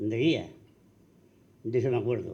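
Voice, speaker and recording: Audible room echo is present. A man is the one talking. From Andalusia, Spain (Arcos). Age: 80s+. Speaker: panel guest recalling local history. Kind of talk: public forum talk.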